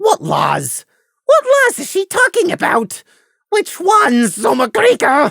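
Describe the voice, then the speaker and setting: This put-on character voice is squeaky and extremely high. It moves at a fairly slow pace. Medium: read story.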